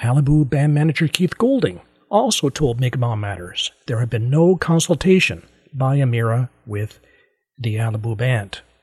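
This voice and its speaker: A man's somewhat breathy voice at medium pitch, lively in intonation, moderate in pace, with a dry, close sound and no echo. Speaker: podcast host. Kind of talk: news-style podcast narration and interview.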